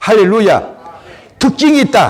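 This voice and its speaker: A man with a high-pitched voice talks in a room with audible echo. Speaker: pastor. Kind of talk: sermon. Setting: church service. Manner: animated, exclamatory preaching.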